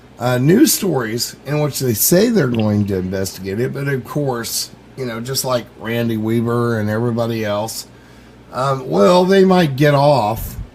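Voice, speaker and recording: With noticeable background noise and audible room echo, a man speaks at a fairly slow pace and medium pitch with lively intonation. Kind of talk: internet radio interview. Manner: hesitant, many fillers.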